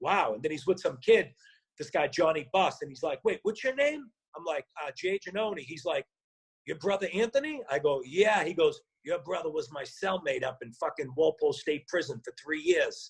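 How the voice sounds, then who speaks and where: A man with a strong Boston accent at a high pitch, with very wide pitch swings, big swings in loudness and a moderate pace, in a dry, close sound with no echo. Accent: Boston accent, still strong. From Boston, Massachusetts (South Boston). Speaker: actor and former rapper. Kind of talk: casual interview storytelling. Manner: animated.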